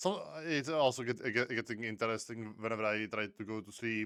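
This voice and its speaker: This man has a fairly low pitch and a bright, sharp tone, talking at a moderate pace with ordinary pitch variation. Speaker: vtuber reacting to videos. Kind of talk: reaction commentary. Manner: halting.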